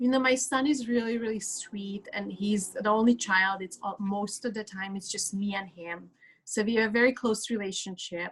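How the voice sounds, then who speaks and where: This woman talks in a Hungarian accent at a moderate pace. Her voice sits at a fairly high pitch. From Hungary. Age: 30s. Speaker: speaker. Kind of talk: testimony.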